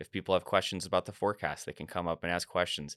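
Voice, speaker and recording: A man with an American accent, in a very clean recording with a silent background and a dry, close sound with no echo. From US Midwest, suburban Chicago. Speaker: journalist and avalanche educator. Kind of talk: interview.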